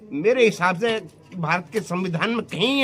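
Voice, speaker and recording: A man speaks in a raised, projected voice with lively intonation. Music plays in the background. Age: 60s. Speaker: farmer. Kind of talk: interview. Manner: animated.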